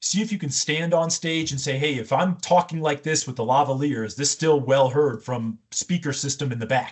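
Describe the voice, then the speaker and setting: A man speaks with an energetic tone at a fairly high pitch and a moderate pace. His pitch variation is ordinary, and he leaves hardly any pauses. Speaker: communications coach. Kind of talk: interview. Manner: loud.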